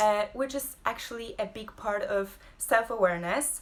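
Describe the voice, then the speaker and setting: A woman's fairly high, bright and sharp voice with a Polish accent. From Poland. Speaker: abstract painter and creative entrepreneur. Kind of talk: casual live-stream talk. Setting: home, social media live video. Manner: halting, many fillers.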